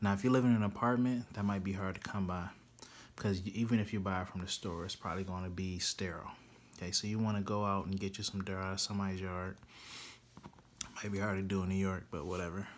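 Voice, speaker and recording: A man rushes along at a very fast pace in a monotone, flat intonation. Light background noise can be heard. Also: fairly low pitch for a man. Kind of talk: tutorial. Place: home room. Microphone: phone near.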